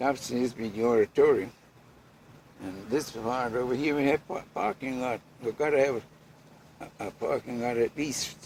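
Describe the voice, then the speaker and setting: A man's medium-pitched voice with a Bermudian accent. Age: 80s+. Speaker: boat and house builder. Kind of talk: interview answer. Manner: slow, elderly.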